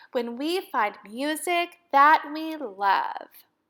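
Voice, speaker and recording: A woman puts on a character voice with a high pitch and very wide pitch swings. She delivers it at a very slow pace. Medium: read story.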